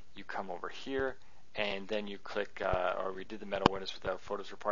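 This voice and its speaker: Fairly low in pitch, a man speaks at a very fast pace. Audible room echo and noticeable background noise come through. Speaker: software tutorial presenter. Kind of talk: tutorial. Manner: casual, with frequent fillers.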